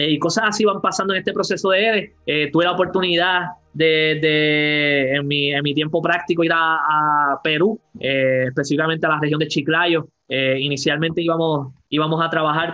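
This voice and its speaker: In a Puerto Rican accent, a man speaks at a moderate pace with a fairly high pitch and fairly even intonation. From Puerto Rico, Yauco (south). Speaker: full-time missionary. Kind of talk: testimony. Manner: halting.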